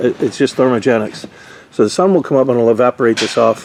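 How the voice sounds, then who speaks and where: Over noticeable background noise, a man talks very fast at a medium pitch with ordinary pitch variation. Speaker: RV roof repair tradesman. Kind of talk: casual tutorial walkthrough.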